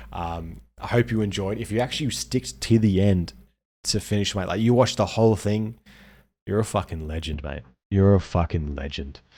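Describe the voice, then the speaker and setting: On a very clean recording with a silent background, a man with an Australian accent speaks at a moderate pace and fairly low pitch with lively intonation. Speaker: gaming content creator. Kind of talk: casual video outro.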